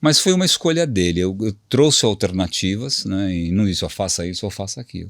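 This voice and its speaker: Speaking at a fairly quick pace, a man uses lively intonation at a fairly low pitch. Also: very clean recording, silent background. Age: 60s. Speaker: HR director. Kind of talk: interview. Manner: hesitant, repeats words.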